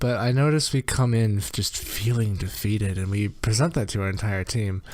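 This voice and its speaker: A soft-spoken man talks with a fairly low pitch. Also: ordinary pitch variation, fairly quick pace. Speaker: video game coach. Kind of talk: gameplay review commentary. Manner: rambling, hesitant with many ums.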